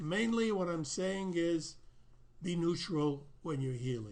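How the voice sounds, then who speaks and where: A man at a fairly high pitch, lively intonation and a moderate pace, with audible room echo. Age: 80s+. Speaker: self-help teacher and healer. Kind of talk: video Q&A answering viewer letters. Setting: recorded video in front of his painting. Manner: casual, hesitant with frequent fillers.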